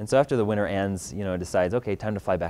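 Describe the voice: Fairly even intonation across plain reading aloud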